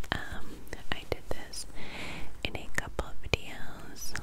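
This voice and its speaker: The speaker, a woman, talks in a whisper. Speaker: ASMR creator. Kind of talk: soft-spoken ASMR talk. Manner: soft close-mic ASMR murmur. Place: home room. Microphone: studio mic.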